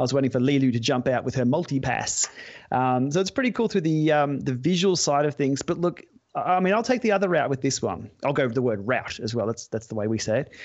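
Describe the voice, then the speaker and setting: A man with an Australian accent races along at a very fast pace in a fairly high pitch. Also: lively intonation. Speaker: podcast co-host.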